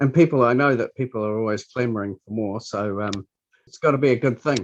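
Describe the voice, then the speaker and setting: A man with a New Zealand accent at a medium pitch, fairly quick pace and ordinary pitch variation, in a dry, close sound with no echo. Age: 60s. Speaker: library scanner operator. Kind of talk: interview. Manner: halting.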